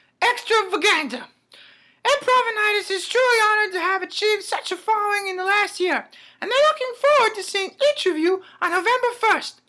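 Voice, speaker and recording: A female-sounding put-on character voice rattles along at a very fast pace and an extremely high pitch. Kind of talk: comedy sketch promo for an improv show. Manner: haughty, prim.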